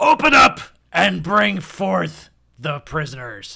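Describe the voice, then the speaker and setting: The voice is a put-on character voice, shouting at a middle pitch. It comes out raspy at a fairly slow pace. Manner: shouting, commanding.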